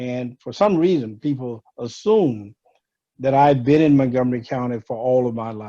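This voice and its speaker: With a dark, mellow tone, a man talks at a moderate pace, with ordinary pitch variation and big swings in loudness. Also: medium pitch for a man. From Louisiana. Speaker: retired county executive and former law professor. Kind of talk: community talk on video call. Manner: warm, friendly; frequent 'uh' fillers.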